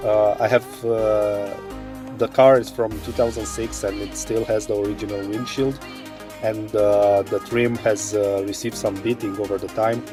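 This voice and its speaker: A man speaks at a moderate pace with fairly even intonation. Music plays in the background. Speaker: DIY car repair hobbyist. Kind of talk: DIY tutorial talk to camera. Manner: hesitant, many filler sounds.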